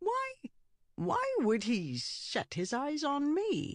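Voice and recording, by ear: A squeaky, high-pitched put-on character voice at a very slow pace.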